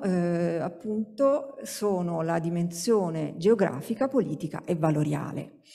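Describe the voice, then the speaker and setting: A woman speaks at a medium pitch with lively intonation. Nothing much is heard in the background. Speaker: sociologist, university researcher; speaker. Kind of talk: academic conference talk. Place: hall. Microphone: podium.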